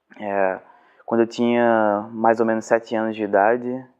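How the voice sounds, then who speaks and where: Here a man speaks at a medium pitch. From Brazil, Cabo de Santo Agostinho, Pernambuco. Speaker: journalist and professor. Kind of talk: testimony.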